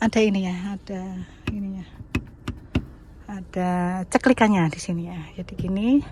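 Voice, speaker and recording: A woman with a Javanese accent speaks fairly slowly in a somewhat breathy, dark and mellow voice with fairly even intonation, the sound dry and close with no echo. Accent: Javanese, noticeable. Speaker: private car seller, vlogger. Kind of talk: casual product walkthrough vlog. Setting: inside and around a parked car, outdoors under a tree. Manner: casual, chatty.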